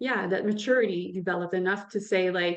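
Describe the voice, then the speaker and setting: A woman speaks at a moderate pace with ordinary pitch variation. She has a French accent. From French-speaking (France or Quebec). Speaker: author and coach. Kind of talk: interview. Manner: halting.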